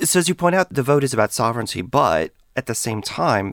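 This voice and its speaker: Recorded very cleanly against a silent background, with a dry, close sound and no echo, a man speaks at a fairly quick pace, his pitch swinging very widely, with vocal fry. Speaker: podcast host and historian. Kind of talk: interview, host-led conversation. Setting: studio.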